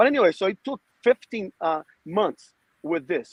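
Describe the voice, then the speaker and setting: A man speaks with a Portuguese accent. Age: 50s. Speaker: podcast guest. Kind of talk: casual chat. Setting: outdoors.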